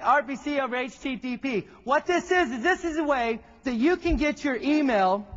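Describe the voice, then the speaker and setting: A man speaks in a Texan accent at an extremely high pitch. His tone is animated. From Texas. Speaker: tech presenter. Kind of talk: keynote presentation. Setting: stage with audience. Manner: fast.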